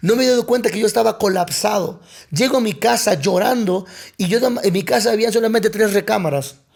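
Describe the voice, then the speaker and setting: Noticeable background noise sits behind this recording. A man talks at a fairly quick pace with a high pitch. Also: ordinary pitch variation. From Mexico, Coatzacoalcos, Veracruz. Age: 30s. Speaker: pastor. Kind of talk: personal testimony in podcast interview.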